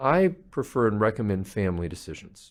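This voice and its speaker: The man's voice makes very wide pitch swings against a quiet background. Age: 60s. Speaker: palliative care physician. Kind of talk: interview.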